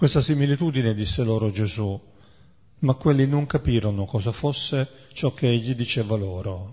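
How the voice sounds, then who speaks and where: A somewhat breathy man of medium pitch at a moderate pace, with long, frequent pauses and ordinary pitch variation. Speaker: prayer meeting leader. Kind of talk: reading aloud. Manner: halting.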